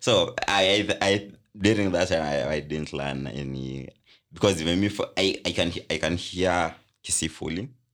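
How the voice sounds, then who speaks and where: A man's very deep, low voice carries vocal fry. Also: ordinary pitch variation, moderate pace. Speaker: podcast co-host. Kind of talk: casual chat.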